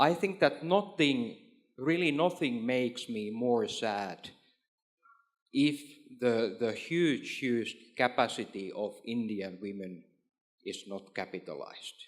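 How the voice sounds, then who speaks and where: Speaking very slowly with long, frequent pauses, a man with a Finnish accent uses a medium pitch and very wide pitch swings. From Finland. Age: 40s. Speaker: trade official and former entrepreneur. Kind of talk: panel discussion. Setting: stage with audience. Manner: halting, with frequent repetitions.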